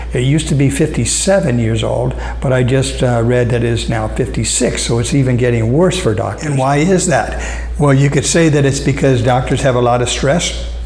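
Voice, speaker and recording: A man with an American accent at a fairly quick pace, hardly any pauses and very even loudness, with audible room echo and noticeable background noise. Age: 60s. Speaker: vlogger. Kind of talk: casual vlog talk to camera. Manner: halting, many fillers.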